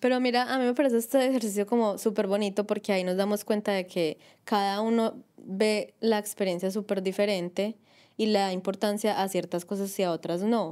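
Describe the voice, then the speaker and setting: A woman's medium-pitched, dark, mellow voice at a fairly quick pace, with fairly even intonation over a quiet background. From Colombia. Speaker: podcast co-host, migrant; podcast co-host. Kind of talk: casual chat. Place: home room.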